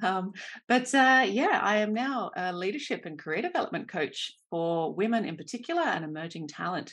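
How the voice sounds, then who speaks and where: With an Australian accent, a woman talks at a fairly quick pace, her pitch swinging very widely. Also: medium pitch for a woman, quiet background. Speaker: career coach. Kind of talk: podcast interview.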